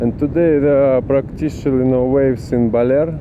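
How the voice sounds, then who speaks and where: A man with a non-native accent, medium pitch and fairly even intonation, at a fairly slow pace amid noticeable background noise. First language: not English. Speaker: travel vlogger. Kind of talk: travel vlog narration. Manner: halting.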